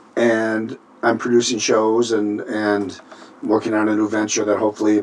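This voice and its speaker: With an American accent, a man speaks at a fairly low pitch and a fairly quick pace. His intonation is monotone and flat, and there is noticeable background noise. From Minnesota. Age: 60s. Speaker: singer and band leader. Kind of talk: interview. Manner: halting.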